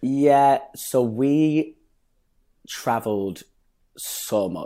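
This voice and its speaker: A man with a slight Lancashire accent, a dark, mellow tone and ordinary pitch variation, on a very clean recording with a silent background. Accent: northern English, Lancashire, slight. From northern England, Bury. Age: 20s. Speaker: dancer and actor. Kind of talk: casual interview chat. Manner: animated, humorous.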